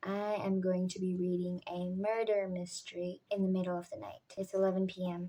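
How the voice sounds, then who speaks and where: Quiet and dark, mellow in tone, a woman speaks at a medium pitch and a moderate pace with fairly even intonation. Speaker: book vlogger. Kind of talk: casual vlog narration. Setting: at home at night. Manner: quiet, subdued at night.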